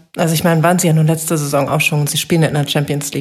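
With a mostly level intonation, the woman talks in a slightly breathy voice. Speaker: sports reporter. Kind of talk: casual football analysis chat.

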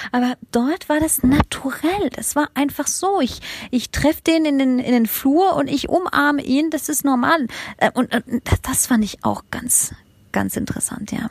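A woman's high-pitched voice, fairly slow, with ordinary pitch variation and a dry, close sound without echo. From Germany and France. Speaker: education consultant and startup founder. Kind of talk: interview. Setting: remote call. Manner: hesitant, many fillers.

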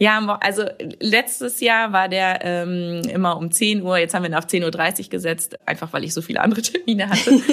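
Amid noticeable background noise, a woman with a medium-pitched voice talks at a moderate pace with ordinary pitch variation. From Münsterland, Germany (Warendorf). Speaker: marketing manager. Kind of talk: podcast interview.

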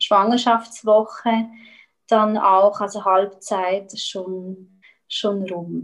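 Very slowly and with fairly even intonation, a woman with a medium pitch speaks in a Swiss German accent. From Switzerland. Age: 30s. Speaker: eating disorder recovery coach. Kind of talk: interview. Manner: halting.

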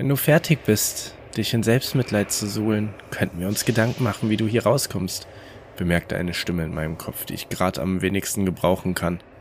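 At a fairly quick pace, a man talks in a fairly low pitch with an unremarkable speaking voice. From Rhineland, Germany. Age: 20s. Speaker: podcast host and story narrator. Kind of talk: reading aloud horror stories.

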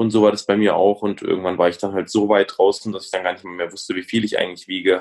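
A man is speaking. He talks at a very fast pace. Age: 20s. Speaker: comedian and entrepreneur. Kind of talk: casual interview. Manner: halting.

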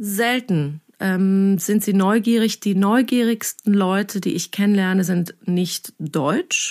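A woman speaks at a very slow pace and medium pitch with ordinary pitch variation and hardly any pauses. The recording is very clean, dry and close, with a silent background and no echo. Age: 30s. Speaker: journalist. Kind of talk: podcast interview.

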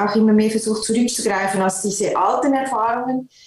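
With a plain, everyday voice, a woman talks at a moderate pace in a fairly high pitch. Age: 50s. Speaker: concert pianist. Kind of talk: interview.

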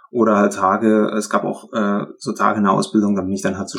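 The man's voice sits fairly low. He keeps up a fairly quick pace. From Upper Lusatia, Saxony. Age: 30s. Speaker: former trainee with depression. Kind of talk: testimony.

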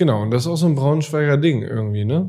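A man's dark, mellow voice sounds somewhat breathy, with ordinary pitch variation. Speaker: podcast co-host. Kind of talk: casual chat.

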